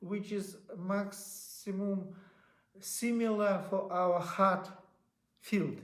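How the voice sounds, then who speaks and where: A man speaks at a high pitch. Audible room echo fills the recording. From Russia. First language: Russian. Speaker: inventor. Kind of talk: interview. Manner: halting.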